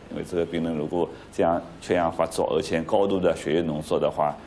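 With a Shanghainese accent and a very deep, low pitch, a man speaks at a fairly quick pace over light background noise. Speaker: cardiac surgeon. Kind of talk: doctor talking to patient family. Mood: calm, gentle, explanatory.

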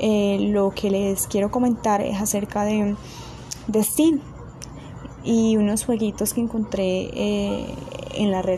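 Over noticeable background noise, a woman talks at a medium pitch with very even loudness, fairly even intonation and long, frequent pauses. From Colombia. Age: 20s. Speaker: tech channel host. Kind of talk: casual tutorial talk. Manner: halting, many fillers.

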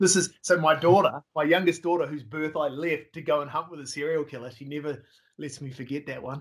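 Over a quiet background, a man with an Australian accent speaks at a fairly quick pace and a fairly high pitch, his intonation fairly even but his loudness swinging widely. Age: 40s. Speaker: hog hunting filmmaker; guest. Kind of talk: casual interview chat. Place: home room.

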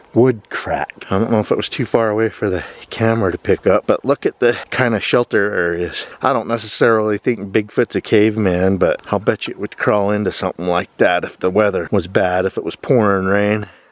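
A man speaks in a normal speaking voice at a fairly low pitch and a fairly quick pace. The sound is dry with no echo, and he hardly pauses. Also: fairly even intonation. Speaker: outdoor vlogger. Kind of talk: casual vlog chat. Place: forest. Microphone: phone near.

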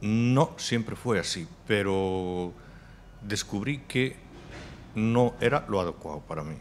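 With light background noise, a man speaks at a very slow pace with long, frequent pauses, using a fairly low pitch and lively intonation. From Galicia, rural Spain. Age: 40s. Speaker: fashion designer; podcast guest. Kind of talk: interview conversation. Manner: halting, repeats words. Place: studio. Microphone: studio mic.

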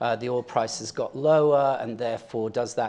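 A man speaks in a slightly mellow tone.

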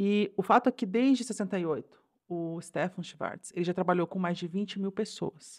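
The background is quiet as a woman speaks at a fairly slow pace. Her pitch sits in the medium range, with ordinary variation. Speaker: podcast co-host. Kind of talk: casual chat. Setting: home studio. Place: home room. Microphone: new microphone; studio mic.

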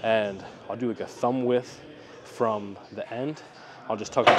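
A man speaks at a moderate pace, with loud background noise all around. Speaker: fitness vlogger. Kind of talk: tutorial. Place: gym. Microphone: lapel.

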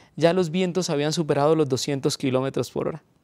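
A man talks with ordinary pitch variation. The sound is dry, with no echo. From Colombia. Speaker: pastor. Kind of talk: testimony. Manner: halting with frequent fillers. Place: studio.

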